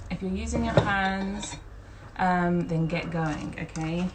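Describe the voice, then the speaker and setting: A woman with a fairly low voice speaks against noticeable background noise, with audible echo from the room. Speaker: home cooking instructor. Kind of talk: live cooking tutorial. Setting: Instagram live stream. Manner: casual, chatty with filler words.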